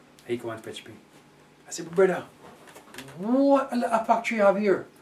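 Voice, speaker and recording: Speaking with a Jamaican accent amid noticeable background noise, a man uses a high pitch, a moderate pace and ordinary pitch variation. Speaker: Jamaican immigrant to England. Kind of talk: oral history interview answer.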